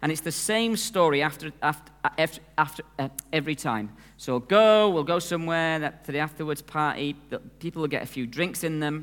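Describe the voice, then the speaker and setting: A man with an unremarkable speaking voice and fairly high pitch is heard. He moves at a fairly quick pace with ordinary pitch variation. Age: 50s. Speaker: preacher. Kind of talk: sermon.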